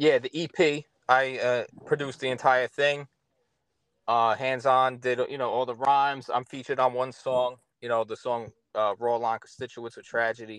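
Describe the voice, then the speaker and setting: In a New York accent, a man speaks at a moderate pace with medium pitch and monotone, flat intonation, the sound dry and close with no echo. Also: big swings in loudness. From Long Island, New York. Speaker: rapper and producer. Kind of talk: casual interview. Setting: on tour in New Jersey.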